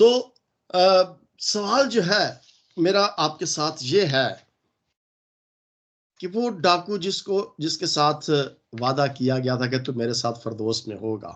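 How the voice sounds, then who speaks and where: A man with a fairly high pitch speaks at a very slow pace, his pitch swinging very widely, with long, frequent pauses over a quiet background. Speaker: pastor. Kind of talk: sermon.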